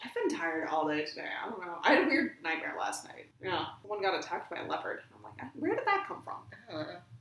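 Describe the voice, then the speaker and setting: A woman speaks very fast with an American accent over noticeable background noise. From US Midwest (northern Wisconsin). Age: 20s. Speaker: conservation detection dog trainer. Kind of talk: casual chat. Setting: in person at a home.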